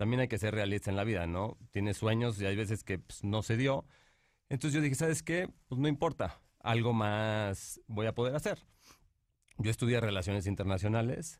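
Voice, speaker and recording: A plain, everyday voice at a moderate pace with ordinary pitch variation and very even loudness. The recording is very clean, with a silent background. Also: man, medium pitch for a man. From Mexico, Monterrey. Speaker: painter and entrepreneur. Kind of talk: interview.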